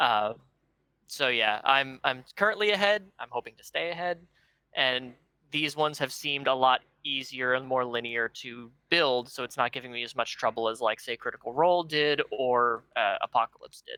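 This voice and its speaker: On a very clean recording with a silent background and a dry, close sound with no echo, a soft-spoken man with a medium pitch and a bright, sharp tone talks at a moderate pace with ordinary pitch variation. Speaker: card game content creator. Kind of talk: casual chat.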